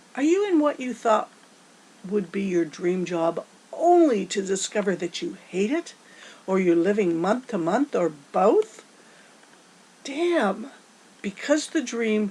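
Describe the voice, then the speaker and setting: A woman talks fairly slowly, her pitch swinging very widely, against noticeable background noise. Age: 60s. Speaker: motivational speaker. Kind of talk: motivational talk. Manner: animated.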